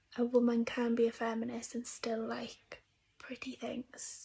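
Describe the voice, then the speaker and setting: Quietly and very slowly, a woman speaks in a high pitch with a dark, mellow tone. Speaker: book youtuber. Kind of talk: casual vlog review.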